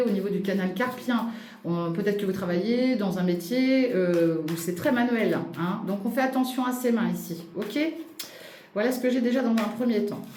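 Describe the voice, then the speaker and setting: A woman's fairly high voice with ordinary pitch variation, audible room echo and noticeable background noise. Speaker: astrology and tarot reader. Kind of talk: tarot reading for viewers. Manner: fast; animated.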